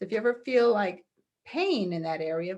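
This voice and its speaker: This is a woman speaking at a moderate pace. Her pitch varies in an ordinary way. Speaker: energy healing practitioner. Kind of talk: guided healing exercise. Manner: soft-spoken.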